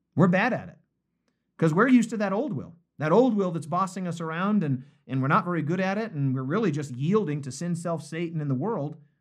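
Animated and very fast, a man speaks at a high pitch with lively intonation. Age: 50s. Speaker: pastor. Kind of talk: bible study livestream. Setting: live video stream.

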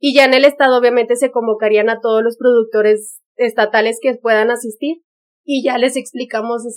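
This woman's voice sits fairly high. Her delivery stays flat and monotone. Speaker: beauty pageant winner and student. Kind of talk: casual interview chat. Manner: calm, relaxed pace.

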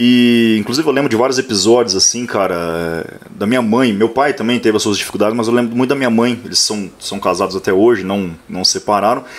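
A man talks at a fairly quick pace with hardly any pauses, at a medium pitch. His pitch variation is ordinary, and there is noticeable background noise. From Paraná, Brazil (Maringá). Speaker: accounting professor. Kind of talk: casual chat. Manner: animated.

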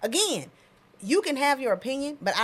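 Speaking with an American accent, this woman keeps up a fairly quick pace. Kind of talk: casual banter podcast chat. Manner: animated, playful.

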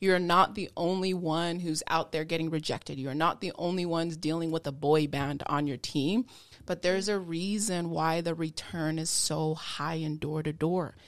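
A woman's fairly low-pitched, a normal speaking voice with fairly even intonation and hardly any pauses. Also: moderate pace. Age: 30s. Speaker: podcast host, door-to-door sales rep. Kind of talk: motivational sign-off; casual interview.

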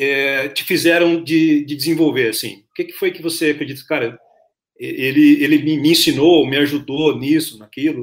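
Fairly even in intonation, a man's fairly high voice proceeds at a moderate pace. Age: 40s. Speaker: podcast host. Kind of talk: interview. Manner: halting.

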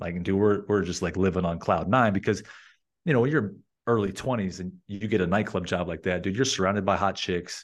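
Speaking at a fairly quick pace with an American accent, the voice comes over a quiet background. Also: man. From Las Vegas, US. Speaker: entrepreneur and sales coach. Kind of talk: casual interview conversation. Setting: remote recording with own mic setup. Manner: clear, concise, articulate.

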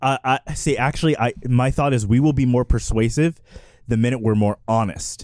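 An unremarkable speaking voice with an American accent, fairly even intonation, moderate pace and big swings in loudness, in a dry, close sound with no echo. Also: man, medium pitch for a man. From Texas. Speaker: podcast panelist. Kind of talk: casual debate. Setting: studio.

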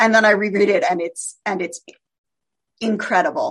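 Using a normal speaking voice, a woman with an American accent talks at a fairly quick pace and medium pitch. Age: 50s. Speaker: literary scholar and writer. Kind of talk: radio interview.

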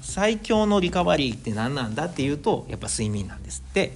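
A man speaks with a Kansai accent. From Osaka, Japan. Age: 40s. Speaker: podcast host, amateur runner. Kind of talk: solo casual monologue.

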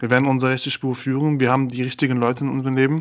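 This man speaks at a medium pitch. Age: 20s. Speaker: podcast co-host. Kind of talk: casual chat.

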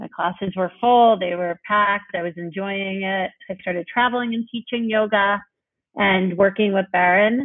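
A woman with a New York accent speaks at a fairly slow pace. Her medium-pitched voice has fairly even intonation. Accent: New York American. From New York City. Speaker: yoga teacher and nonprofit founder. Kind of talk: casual interview.

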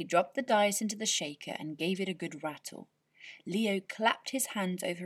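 The speaker does plain reading aloud with ordinary pitch variation against a quiet background.

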